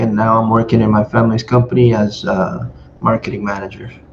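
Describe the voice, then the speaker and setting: A man talks in a Spanish accent. His pace is moderate. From Nicaragua, Granada. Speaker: podcast co-host. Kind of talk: casual chat.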